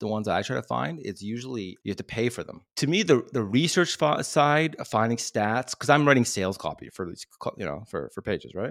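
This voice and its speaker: A man's medium-pitched voice with vocal fry, very wide pitch swings and big swings in loudness, at a fairly quick pace, in a dry, close, very clean recording with a silent background and no echo. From family from Iraq, Assyrian background. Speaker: marketing podcast host. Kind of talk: casual chat. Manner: animated.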